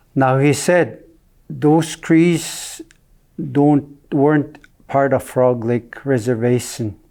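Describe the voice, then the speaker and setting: The voice has a dark, mellow tone and moves at a very slow pace, with ordinary pitch variation and very even loudness. The recording is very clean, with a silent background. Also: man, fairly high pitch for a man. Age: 70s. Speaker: First Nation elder. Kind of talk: oral history telling. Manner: halting, with hesitations.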